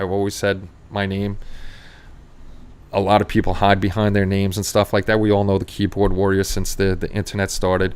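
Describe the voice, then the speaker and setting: This man talks at a fairly low pitch in a New York accent. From New York City, Queens. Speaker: model-making livestream host. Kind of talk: casual chat. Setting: livestream. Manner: fast; sometimes loud.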